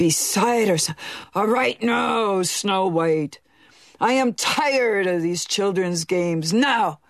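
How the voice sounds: The speaker reads in a natural reading voice.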